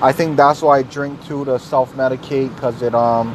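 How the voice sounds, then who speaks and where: This man's voice sits at a medium pitch and moves at a moderate pace. Noticeable background noise runs underneath. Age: 30s. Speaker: podcaster. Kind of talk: personal monologue. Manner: halting.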